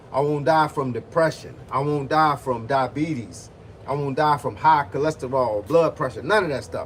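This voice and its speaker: At a moderate pace, a man with a fairly high, somewhat breathy voice talks with ordinary pitch variation. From Virginia (Hampton). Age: 50s. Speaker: boxing and fitness coach. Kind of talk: livestream chat with viewers. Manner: animated.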